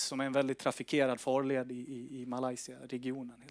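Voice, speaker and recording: A man's fairly high voice at a moderate pace, dry with no echo, against a quiet background. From northern Sweden. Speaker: company executive. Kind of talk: investor presentation. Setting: stage with audience. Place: meeting room. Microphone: headset.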